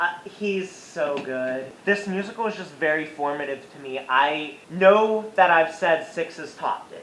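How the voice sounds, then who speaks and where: Fairly slow speech with hardly any pauses against noticeable background noise. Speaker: YouTuber. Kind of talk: casual vlog review. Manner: animated.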